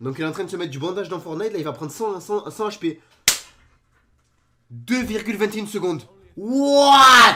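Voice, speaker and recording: This man speaks at a moderate pace in an animated tone. His pitch swings very widely. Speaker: YouTuber reacting to videos. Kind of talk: reaction video commentary.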